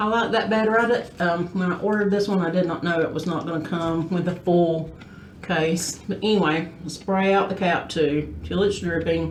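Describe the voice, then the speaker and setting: Fairly low-pitched woman in a strong Southern US accent, moderate pace and ordinary pitch variation, with audible room echo and noticeable background noise. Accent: thick Southern. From US South, South Georgia. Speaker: beauty vlogger. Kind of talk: casual chat; tutorial. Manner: casual, conversational with fillers.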